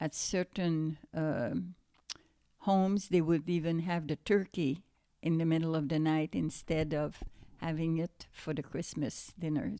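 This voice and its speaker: In a Quebec accent, a woman with a dark, mellow tone speaks at a very slow pace on a very clean recording with a silent background. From Quebec, Montreal. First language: French. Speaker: grandmother. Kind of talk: casual chat. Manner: halting.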